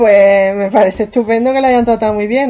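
Over noticeable background noise, a woman speaks in a fairly high voice with fairly even intonation. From Catalonia (Sabadell). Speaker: podcast co-host. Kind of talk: casual chat.

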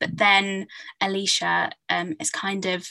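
A woman speaks with a southern English accent, captured with a dry, close sound and no echo. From England, Hertfordshire. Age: 20s. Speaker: novelist. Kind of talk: interview.

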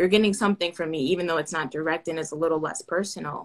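A woman speaks at a very fast pace. Her pitch is fairly low, with ordinary variation. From Florida, US (Orlando). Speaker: aerospace engineering PhD student. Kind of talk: casual interview. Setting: Instagram Live video call.

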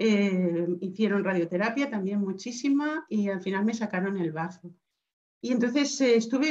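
This woman's voice comes across as somewhat breathy. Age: 50s. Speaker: cancer survivor. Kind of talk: interview.

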